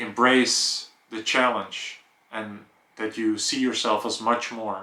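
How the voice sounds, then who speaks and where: A man's fairly slow, monotone delivery in a Dutch accent, flat in intonation. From Netherlands. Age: 30s. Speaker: vlogger. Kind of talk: personal vlog monologue.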